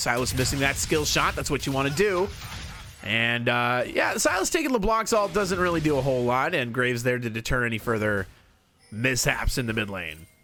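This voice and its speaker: Music plays in the background as a medium-pitched man talks at a fairly quick pace with lively intonation. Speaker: League of Legends shoutcaster. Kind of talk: esports shoutcasting demo, play-by-play commentary. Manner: fast-paced, energetic.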